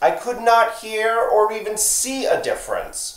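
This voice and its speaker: Room echo can be heard around this man as he talks very slowly. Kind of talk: casual vlog chat. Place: home room. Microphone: phone near.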